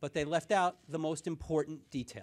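Pitch varying in an ordinary way, a man talks at a fairly quick pace. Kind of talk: press conference statement. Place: meeting room. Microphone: podium.

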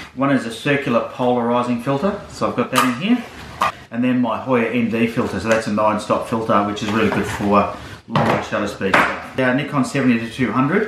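A man speaks at a moderate pace, his pitch varying in an ordinary way, over loud background noise. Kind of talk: casual gear walkthrough vlog. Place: home room. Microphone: camera far.

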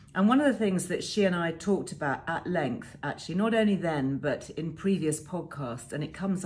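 A woman's somewhat breathy, fairly low voice at a moderate pace. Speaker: presenter. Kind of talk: informative talk to camera. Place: home room. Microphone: phone near.

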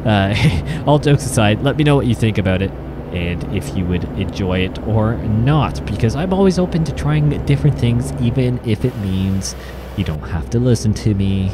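A man speaks at a moderate pace with a fairly low pitch and very wide pitch swings. Noticeable background noise runs under his voice. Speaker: gaming video creator. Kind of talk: gameplay commentary. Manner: casual, halting with fillers.

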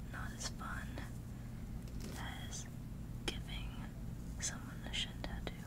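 A whispering voice moves at a fairly slow pace. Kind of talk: casual vlog chat. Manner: soft-spoken ASMR voice, hushed. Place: home room. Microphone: phone near.

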